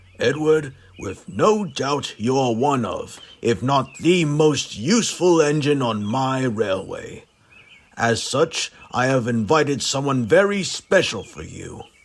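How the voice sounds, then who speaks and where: In a put-on character voice, a man talks at a fairly high pitch and a fairly slow pace with lively intonation and big swings in loudness. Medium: audio drama. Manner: formal, authoritative.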